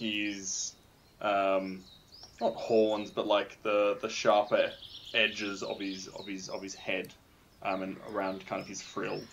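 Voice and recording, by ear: A man talks at a slow pace in a fairly bright tone. His pitch is fairly low, and audible room echo surrounds it.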